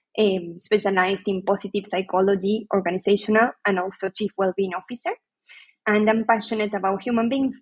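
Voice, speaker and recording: Somewhat breathy and at a medium pitch, a woman talks at a fairly quick pace with fairly even intonation, the sound dry and close with no echo. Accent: Spanish. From Argentina. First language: Spanish. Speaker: HR leader and psychologist. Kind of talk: podcast interview.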